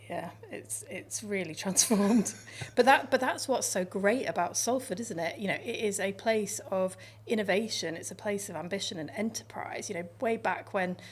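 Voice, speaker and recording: A woman talks in a somewhat breathy voice with ordinary pitch variation and big swings in loudness. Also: medium pitch for a woman, moderate pace. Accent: northwest English. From northern England, Lancashire and Yorkshire. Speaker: radio station controller. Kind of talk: interview.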